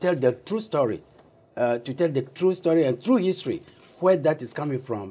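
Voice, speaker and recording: The voice carries a strong African accent and a dark, mellow tone. Its intonation is lively. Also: man. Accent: African accent, deep. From Togo, West Africa. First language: Togolese African language; also French. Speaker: founder of an African diaspora organization. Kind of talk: TV interview.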